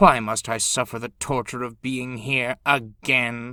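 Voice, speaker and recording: Putting on a growling character voice, a man speaks at a fairly slow pace with a medium pitch. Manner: complaining, miserable.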